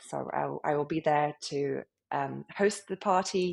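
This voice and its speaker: This is a woman speaking. She has a British accent. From UK. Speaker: club founder. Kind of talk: interview.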